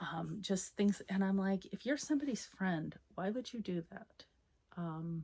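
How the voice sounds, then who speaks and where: Somewhat breathy and dark, mellow in tone, a woman of medium pitch speaks at a fairly slow pace with lively intonation. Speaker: knitting podcaster. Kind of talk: casual monologue.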